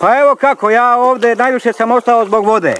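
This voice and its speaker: The man's pitch is extremely high as he talks at a fairly quick pace. Noticeable background noise runs underneath. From Serbia, Šumadija (village near Gornji Milanovac). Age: 50s. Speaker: village postman. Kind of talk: documentary interview. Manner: halting, with fillers.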